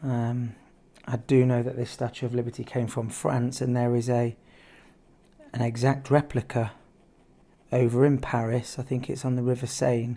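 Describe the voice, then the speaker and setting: A man with a British accent speaks at a moderate pace and medium pitch, his tone dark and mellow, his intonation monotone and flat, with long, frequent pauses. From UK. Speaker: art teacher. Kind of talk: tutorial. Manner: casual, hesitant with fillers.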